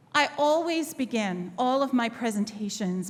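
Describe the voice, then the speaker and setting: A woman with an American accent talks at a fairly slow pace, her pitch fairly high and her intonation lively. Her voice sounds somewhat breathy. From northern England, Sheffield. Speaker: history professor. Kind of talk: keynote talk.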